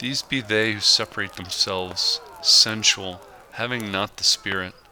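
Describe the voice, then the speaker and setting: A man at a fairly slow pace and fairly low pitch, with noticeable background noise. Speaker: handyman. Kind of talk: audio Bible reading.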